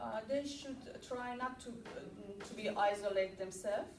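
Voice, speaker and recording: A woman's fairly high-pitched voice at a fairly slow pace, with noticeable background noise and audible room echo. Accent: non-native. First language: not English. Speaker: ESL student. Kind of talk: student presentation; Q&A discussion. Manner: halting, many fillers.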